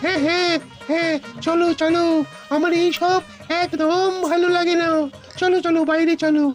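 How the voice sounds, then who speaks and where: A cartoonish character voice speaks at an extremely high pitch in a monotone, flat delivery at a moderate pace. Clear music plays in the background. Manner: wheedling, persuasive.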